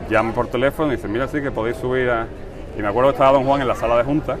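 A medium-pitched man is heard through noticeable background noise. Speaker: brotherhood member. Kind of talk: radio interview.

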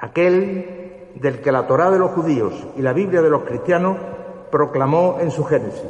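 Against noticeable background noise, a high-pitched man talks fairly slowly with ordinary pitch variation and very even loudness. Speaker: presenter introducing the orator. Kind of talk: formal oratorical introduction.

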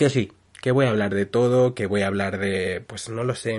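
The man's fairly low voice holds fairly even intonation while he talks at a moderate pace. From Spain. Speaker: podcaster. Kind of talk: casual monologue.

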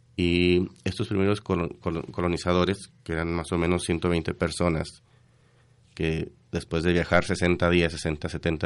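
A man's very deep, low voice, very slow in pace and monotone, with flat intonation. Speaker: radio co-host. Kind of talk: casual chat. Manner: halting.

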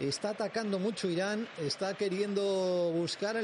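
Over noticeable background noise, a man with a high pitch speaks at a moderate pace in an animated tone. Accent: Madrid. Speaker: radio sports presenter. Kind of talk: live radio match presentation and studio commentary. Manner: animated, fluent.

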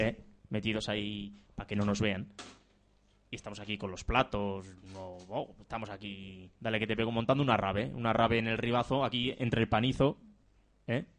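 Long, frequent pauses break up speech that keeps a moderate pace and fairly even intonation. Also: man, fairly low pitch for a man. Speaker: community radio host. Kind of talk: casual chat.

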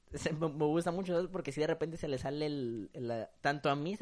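Here a man with a fairly high pitch speaks at a moderate pace, his pitch varying in an ordinary way. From Acapulco, Guerrero, Mexico. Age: young. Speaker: university student. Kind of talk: casual chat.

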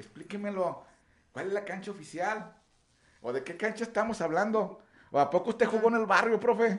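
With long, frequent pauses, a man speaks in a high pitch with ordinary pitch variation. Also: moderate pace. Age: 40s. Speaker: radio show host and runner. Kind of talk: casual chat.

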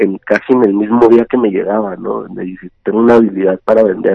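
A man speaks at a medium pitch. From Ciudad Juárez, northern Mexico. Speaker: entrepreneur in digital marketing. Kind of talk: interview. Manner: halting, with frequent repetitions.

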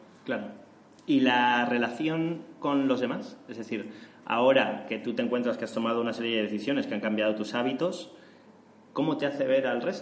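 Speaking at a moderate pace with ordinary pitch variation, a man with a Spanish accent is heard over noticeable background noise and audible room echo. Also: medium pitch for a man. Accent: Spanish (Spain). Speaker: podcast host. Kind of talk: interview.

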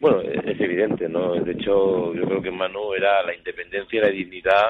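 With an unremarkable speaking voice, a man speaks at a fairly low pitch with fairly even intonation. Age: 50s. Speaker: photojournalist. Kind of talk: interview.

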